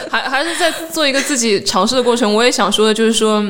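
Lively intonation marks a woman speaking at a fairly quick pace. Noticeable background noise and audible room echo fill the recording. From southern China, Jiangsu-Zhejiang-Shanghai region. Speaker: stand-up comedian. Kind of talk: casual chat.

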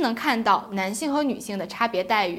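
A woman talks at a fairly quick pace. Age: 20s. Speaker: podcast host. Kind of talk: book review chat. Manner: chatty.

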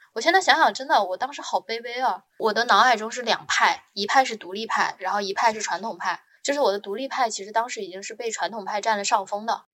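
This woman talks at a very fast pace with hardly any pauses, her fairly high voice bright and sharp, her tone animated and her loudness swinging widely. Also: ordinary pitch variation. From northern China. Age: 20s. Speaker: marketing professional. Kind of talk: casual interview storytelling.

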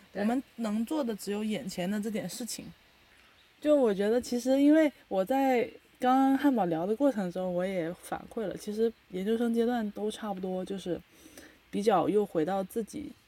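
A woman's fairly high voice, dark and mellow in tone, with ordinary pitch variation at a moderate pace. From China. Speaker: podcast host. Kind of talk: casual chat.

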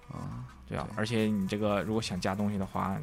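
Talking at a fairly quick pace, a man with a fairly low pitch and ordinary pitch variation has an unremarkable speaking voice. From Northeast China. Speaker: visual effects compositor. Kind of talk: casual interview chat.

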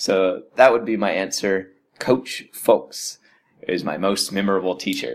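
A man with an American accent, on a very clean recording with a silent background. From United States. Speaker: radio host and English teacher. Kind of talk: casual explainer monologue.

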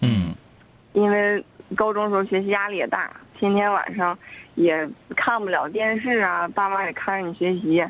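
A woman at medium pitch and a moderate pace, with ordinary pitch variation and long, frequent pauses. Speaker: radio show caller, longtime listener. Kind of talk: casual phone chat.

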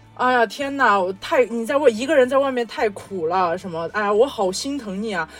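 A woman talking at a fairly quick pace with lively intonation and hardly any pauses, over noticeable background noise. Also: fairly high pitch for a woman. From Xinjiang, China. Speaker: podcast co-host. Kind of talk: casual chat.

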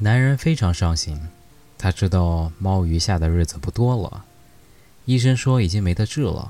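A man speaks with a very deep, low pitch and a somewhat breathy quality. His tone is gentle and calm. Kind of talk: bedtime story telling, read aloud in English then Chinese. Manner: gentle, slow and calm, reading with soft dramatic pauses and dialogue; measured, soothing, formal narration.

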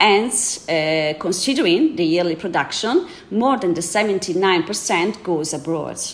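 A woman with an Italian accent, talking at a very slow pace with hardly any pauses, over noticeable background noise. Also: medium pitch for a woman, lively intonation. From Italy, Veneto (Prosecco region). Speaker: wine trade representative. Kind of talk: interview. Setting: studio.

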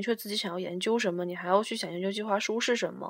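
Noticeable background noise sits behind a woman's voice. Her pitch is medium and her intonation fairly even. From Liaoning, northeast China (Shenyang). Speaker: international student. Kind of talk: casual chat. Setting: at home, drinking beer.

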